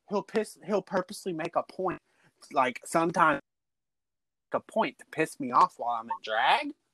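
Speaking in a Texan accent at a moderate pace, a man uses a high pitch, very wide pitch swings and a bright, sharp, animated tone, with long, frequent pauses in a dry, close sound with no echo. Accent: Texan US Southern. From Texas, Dallas. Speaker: drag queen. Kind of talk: casual chat.

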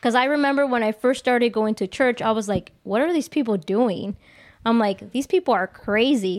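A woman talks at a moderate pace in a plain, everyday voice, fairly high in pitch with lively intonation. Her loudness stays very even, and the recording is very clean with a silent background. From Mexico (Jalisco), raised in US from age five. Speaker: livestream podcast guest, office worker. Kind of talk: casual chat, personal testimony. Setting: live-streamed video podcast.

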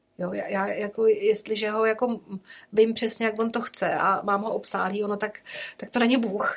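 Over noticeable background noise, a woman with a fairly high voice speaks at a moderate pace in a monotone, flat intonation. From rural Czechia, village. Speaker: nun, educator and carer. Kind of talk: casual interview.

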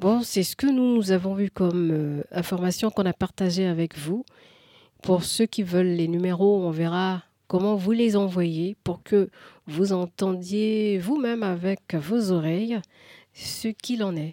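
A woman speaks very slowly at a medium pitch, her tone dark and mellow, with ordinary pitch variation and a dry, close sound with no echo. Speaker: radio call-in host. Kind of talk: call-in radio show.

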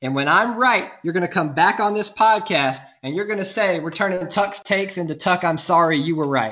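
Talking at a fairly quick pace with hardly any pauses, a man with a Southern US accent uses a high pitch and ordinary pitch variation. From US South, Mobile, Alabama. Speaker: podcast guest, sports fan. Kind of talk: casual chat.

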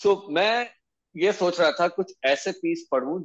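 A man with a Tamil accent and a high pitch. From India, Bhopal. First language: Tamil (speaking Hindi). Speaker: author and blogger. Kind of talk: casual chat.

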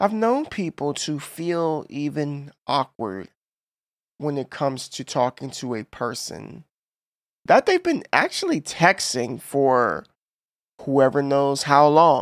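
A man speaks very slowly in a fairly high voice with lively intonation, recorded dry and close with no echo, very clean, against a silent background. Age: 30s. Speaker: podcast host and streamer. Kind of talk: solo podcast monologue.

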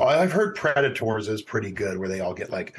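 A man puts on a raspy character voice at medium pitch and moves along at a fairly quick pace. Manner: over-enunciated, exaggerated pronunciation.

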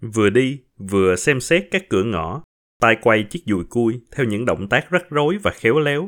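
Very wide pitch swings mark a man's medium-pitched voice at a fairly slow pace. The recording is very clean, with a silent background. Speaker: podcast host and storyteller. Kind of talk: reading aloud a short story.

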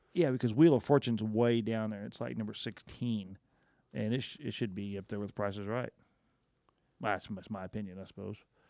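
A man's plain, everyday voice with a fairly low pitch, ordinary pitch variation and a fairly quick pace, with an American accent. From Oklahoma. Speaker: podcast co-host. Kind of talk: casual chat. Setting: studio.

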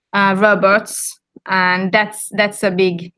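With a Swedish accent, a woman of medium pitch speaks at a very slow pace in a bright, sharp tone, the sound dry and close with no echo. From Finland, Helsinki. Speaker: school principal. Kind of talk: casual interview. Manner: halting.

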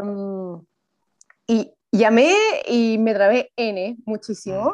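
In a Chilean accent, a woman with a fairly high pitch speaks at a very slow pace. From Chile, Viña del Mar. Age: 20s. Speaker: journalist. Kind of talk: casual chat.

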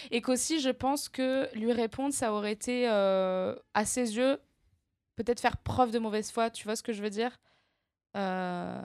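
On a very clean recording with a silent background and a dry, close sound with no echo, a woman speaks at a fairly high pitch and a fairly slow pace, with fairly even intonation and long, frequent pauses. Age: 20s. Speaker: comedian and screenwriter. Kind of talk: casual interview chat. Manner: halting.

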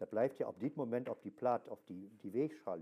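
A man's dark, mellow tone with vocal fry, at a fairly slow pace. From Germany. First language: German (speaking Dutch). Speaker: archaeologist, mental health patient. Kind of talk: interview. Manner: halting.

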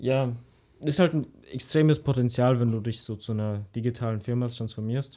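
On a very clean recording with a silent background, a man speaks at a medium pitch in a dark, mellow tone with ordinary pitch variation. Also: moderate pace. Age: young. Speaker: podcast co-host. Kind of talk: casual chat.

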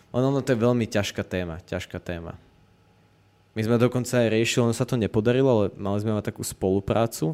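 A man's dark, mellow voice at medium pitch, with ordinary pitch variation, a very fast pace and a very clean recording on a silent background. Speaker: youtuber and podcast host. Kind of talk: casual chat.

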